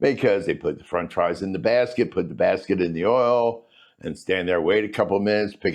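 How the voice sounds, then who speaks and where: With an ordinary speaking voice, this man keeps a moderate pace and ordinary pitch variation. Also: quiet background. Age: 60s. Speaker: economics educator. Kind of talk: casual lecture. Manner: conversational.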